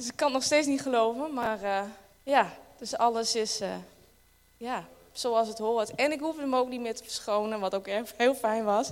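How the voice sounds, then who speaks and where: A fairly high-pitched woman at a fairly slow pace, with ordinary pitch variation, big swings in loudness, and long, frequent pauses. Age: 30s. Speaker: church member. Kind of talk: testimony. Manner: halting.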